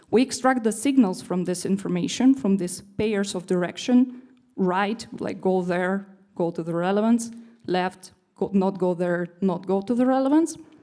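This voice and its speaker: A woman speaks at a moderate pace and medium pitch. Her tone is dark and mellow, with ordinary pitch variation. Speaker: developer relations engineer giving a conference talk. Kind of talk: conference lightning talk.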